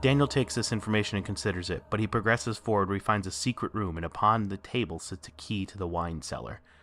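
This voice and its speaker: A man talks at a very fast pace in a fairly low voice, with ordinary pitch variation. Music plays in the background. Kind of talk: video essay narration. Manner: some stuttering and pauses.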